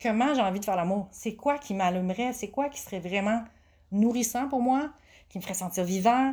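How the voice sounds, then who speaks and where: Her tone dark and mellow, a woman speaks at a fairly high pitch and moderate pace with ordinary pitch variation, in a very clean recording with a silent background. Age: 40s. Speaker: sex education coach and massage therapist. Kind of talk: casual interview.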